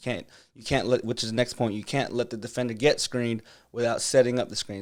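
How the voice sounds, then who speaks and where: A man speaks quietly at a fairly quick pace with monotone, flat intonation. The recording is very clean, with a silent background. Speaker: basketball coach streamer. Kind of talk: live stream film breakdown. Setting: home live stream. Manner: quiet, holding back volume.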